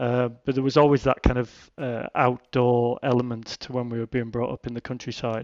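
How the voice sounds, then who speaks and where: With a northern English accent, a man talks at a moderate pace in a medium pitch and a monotone, flat intonation. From Cumbria, northern England. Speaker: mountain guide. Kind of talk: casual interview chat.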